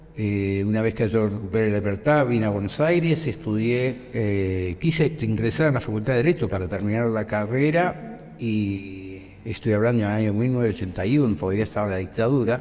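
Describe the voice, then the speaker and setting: A man talks at a fairly quick pace with hardly any pauses. His pitch is fairly low, with ordinary variation. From Argentina, Rosario. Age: 60s. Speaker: dictatorship survivor and political activist. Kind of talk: interview testimony. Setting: school visit. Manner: hesitant, many fillers.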